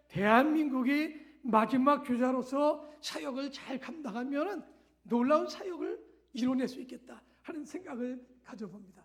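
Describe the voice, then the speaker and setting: A man speaks at a very slow pace in an extremely high voice with ordinary pitch variation. Room echo can be heard. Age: 60s. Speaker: missionary pastor. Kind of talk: sermon. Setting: church. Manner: halting.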